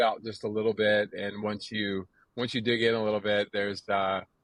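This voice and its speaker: With an American accent, a man talks at a moderate pace in a fairly low pitch, his intonation monotone and flat. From US South, North Carolina. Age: 60s. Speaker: recovering addict, runner. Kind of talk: podcast interview. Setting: outdoors on front porch.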